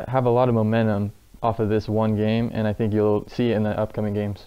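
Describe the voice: A man talks at a fairly quick pace with a fairly low pitch and a clear, smooth tone. His intonation is monotone and flat.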